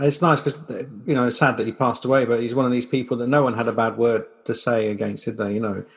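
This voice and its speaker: In a British accent, a man speaks at a very fast pace. His medium-pitched voice keeps a fairly even intonation. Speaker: podcast host. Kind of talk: casual interview.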